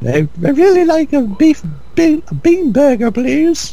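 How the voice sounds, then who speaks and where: Against noticeable background noise, a man performs a put-on character voice with a British accent, extremely high in pitch and delivered at a very slow pace. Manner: stoic, dry.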